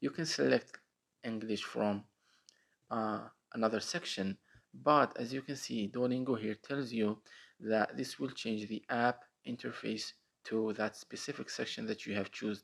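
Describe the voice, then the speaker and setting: Using an Arabic accent, a man speaks at medium pitch and a moderate pace with ordinary pitch variation. He leaves long, frequent pauses, and the recording is very clean with a silent background. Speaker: tech tutorial youtuber. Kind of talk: screen-recorded app tutorial. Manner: casual with frequent fillers.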